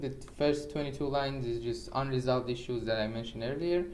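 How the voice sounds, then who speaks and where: A man with a fairly high voice in a Persian accent, with audible room echo. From Iran. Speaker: programmer. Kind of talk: tutorial. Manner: halting; casual.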